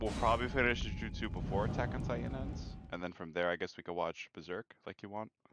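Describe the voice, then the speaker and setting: Very fast and with hardly any pauses, a man talks at a very deep, low pitch with very wide pitch swings, the sound dry and close with no echo and music in the background. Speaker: friend in voice chat. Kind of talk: casual chat. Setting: discord voice call.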